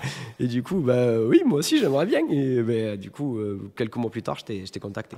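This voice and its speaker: A man talks fairly quickly. His pitch sits in the medium range. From southwest France (Toulouse, Montauban). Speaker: podcast co-host, tabletop role-player. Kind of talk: casual interview chat. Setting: on location in a château. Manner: halting, many restarts and fillers.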